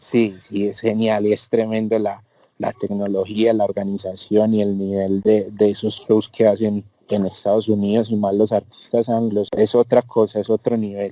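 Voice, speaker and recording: A man talks at a fairly slow pace in a fairly low, dark, mellow voice with monotone, flat intonation. The sound is dry and close with no echo. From Colombia, Medellín. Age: 20s. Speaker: concert and event producer. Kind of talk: interview.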